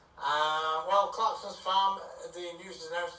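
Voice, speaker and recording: A man speaks at a moderate pace with audible room echo. Noticeable background noise can be heard too. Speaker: radio news presenter. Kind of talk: news reading. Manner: hesitant with many fillers.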